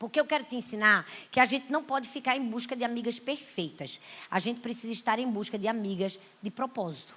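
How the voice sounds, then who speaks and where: A woman speaks at a fairly high pitch and a fairly quick pace, with ordinary pitch variation. Her tone is bright, sharp and animated. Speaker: pastor. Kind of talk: sermon.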